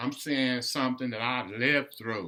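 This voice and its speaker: The man's tone is bright and sharp. He speaks with an American accent. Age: 60s. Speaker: political commentator. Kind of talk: casual monologue. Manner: animated.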